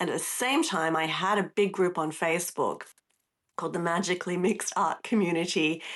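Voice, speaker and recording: An Australian accent from a woman with a fairly low pitch, moderate pace, quiet background. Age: 60s. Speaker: artist and workshop teacher. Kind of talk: casual interview chat. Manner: animated.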